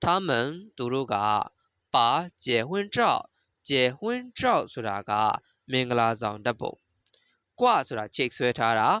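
Everything around the speaker is quiet. Each word comes out at a very slow pace. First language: Burmese (speaking Chinese). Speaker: Chinese language teacher. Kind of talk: lecture.

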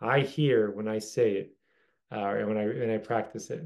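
The background is quiet as a man speaks at a medium pitch. His intonation is fairly even. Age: 40s. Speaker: religious teacher. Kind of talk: lecture. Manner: casual with frequent fillers. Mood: warm, reflective.

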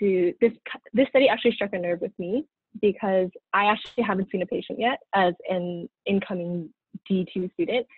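A woman with an American accent talks at a moderate pace. The sound is dry with no echo, and the background is quiet. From Southern California, Pasadena; Southern California. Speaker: dental student; presenter. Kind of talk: student lecture presentation. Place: home room. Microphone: webcam.

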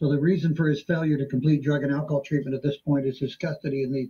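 Very fast and monotone, with flat intonation, a man talks in a fairly high pitch with a dark, mellow tone that is somewhat breathy. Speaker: defense attorney. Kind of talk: court proceedings. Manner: halting. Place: office. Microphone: video call.

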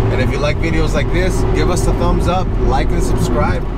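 Music in the background behind a man speaking at a moderate pace. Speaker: car hobbyist vlogger. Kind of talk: casual vlog chat. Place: car. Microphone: phone near.

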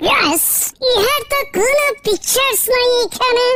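A woman puts on a squeaky, cartoonish character voice at an extremely high pitch. She delivers it at a fairly slow pace. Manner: formal, stiff, enthusiastic.

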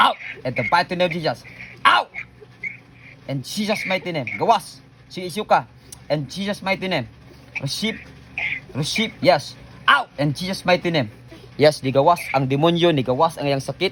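At a moderate pace, a high-pitched man talks with ordinary pitch variation and long, frequent pauses. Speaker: pastor leading healing prayer. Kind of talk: deliverance prayer. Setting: online video, praying over someone via camera. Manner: loud, forceful commanding shouts; fervent, repetitive, animated.

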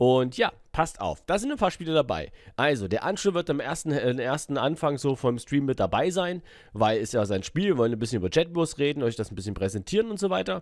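Moving through very wide pitch swings, a man speaks at a fairly quick pace and a fairly high pitch. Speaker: gaming streamer. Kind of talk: casual announcement to viewers. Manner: casual, filler-heavy.

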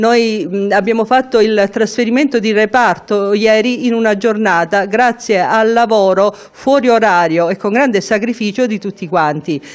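A woman with a fairly high pitch talks at a moderate speed, hardly pausing, her pitch varying in an ordinary way. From southern Italy, Calabria (Melito di Porto Salvo); Calabria, Italy. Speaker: cardiologist, head of hospital ward. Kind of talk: interview. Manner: halting. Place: office. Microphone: handheld.

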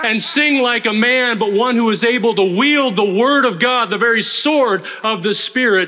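In a raised, projected voice, the speaker goes at a moderate pace with ordinary pitch variation and hardly any pauses. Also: man. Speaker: pastor giving an ordination charge. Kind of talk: sermon. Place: church.

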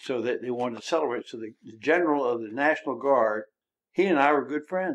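Speaking at a very fast pace, a man with an American accent has a fairly high pitch and ordinary pitch variation. His loudness swings widely. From Maryland Eastern Shore, Salisbury. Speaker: retired mayor. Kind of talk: interview. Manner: halting.

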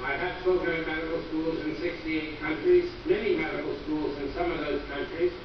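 A man talks at a moderate pace in a high pitch with fairly even intonation. Strong room echo and noticeable background noise fill the recording. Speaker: visiting lecturer physician. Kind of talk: lecture. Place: hall.

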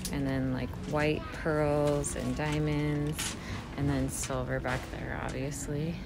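Soft-spoken, very slow delivery against noticeable background noise. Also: woman. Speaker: shopping vlogger. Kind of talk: ASMR shopping walk-through, casual talk to camera. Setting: in a store. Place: shop. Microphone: phone near.

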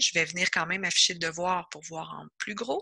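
Recorded dry and close with no echo, a woman talks at a moderate pace in a fairly low pitch with a bright, sharp tone. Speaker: educational consultant. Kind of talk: tutorial. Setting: video call.

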